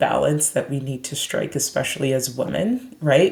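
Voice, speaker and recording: A woman in a Canadian accent speaks with a very deep, low pitch. Noticeable background noise is present. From Canada (Brampton, Ontario). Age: 30s. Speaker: psychiatrist. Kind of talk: podcast interview.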